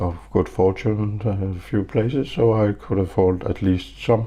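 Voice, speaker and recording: A man with a somewhat breathy voice takes a fairly slow pace, and his pitch varies in an ordinary way. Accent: non-native. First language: not English. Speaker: knife reviewer YouTuber. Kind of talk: casual vlog monologue. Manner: slow, halting.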